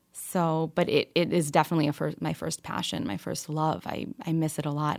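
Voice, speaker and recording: At a fairly quick pace, an ordinary speaking voice comes through with an American accent. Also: woman, very clean recording, silent background. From New York, with teen years in Kentucky. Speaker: financial planning entrepreneur. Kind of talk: interview.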